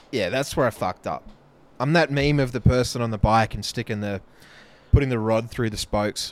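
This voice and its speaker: A man talks with an Australian accent at a fairly quick pace. His pitch is medium, with ordinary variation. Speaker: podcast co-host. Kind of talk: casual chat.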